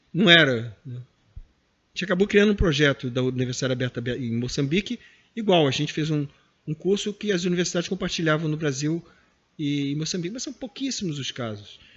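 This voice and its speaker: This man talks at a fairly quick pace with lively intonation and a fairly high pitch. His loudness swings widely. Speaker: professor, former head of a distance-learning foundation. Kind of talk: interview. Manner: fast.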